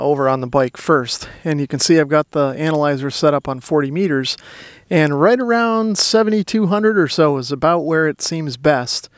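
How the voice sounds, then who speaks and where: The background is quiet and the sound dry with no echo. A man speaks with ordinary pitch variation. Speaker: amateur radio hobbyist. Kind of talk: tutorial. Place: open country.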